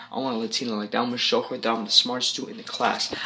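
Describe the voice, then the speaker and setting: A man's bright, sharp voice over light background noise. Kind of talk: casual vlog chat. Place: home room. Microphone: phone near.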